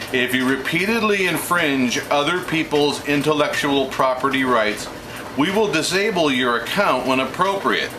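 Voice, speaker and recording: The speaker's intonation is lively and loudness very even at a moderate pace, with audible room echo and noticeable background noise. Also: man, fairly high pitch for a man. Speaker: video blogger. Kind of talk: monologue to camera. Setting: home kitchen office. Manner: halting; off the cuff.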